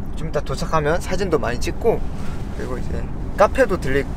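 Over noticeable background noise, a man speaks at a moderate pace with lively intonation. The sound is dry, with no echo. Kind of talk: casual vlog chat. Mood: excited, a bit nervous. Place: car. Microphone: camera far.

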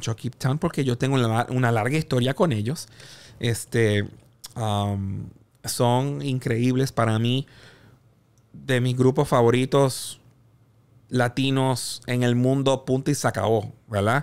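Here a man speaks at a very slow pace. His medium pitch carries fairly even intonation. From Puerto Rico. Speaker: music executive and producer; podcast guest. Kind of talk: interview conversation. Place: studio. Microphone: studio mic.

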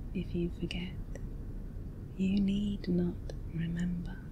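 A woman at a very slow pace, with noticeable background noise. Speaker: hypnosis and relaxation video creator. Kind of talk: guided hypnosis script for sleep.

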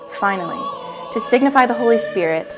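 Clear music plays behind a woman as she talks. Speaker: church educator. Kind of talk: educational religious narration. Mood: calm, warm, earnest. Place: studio.

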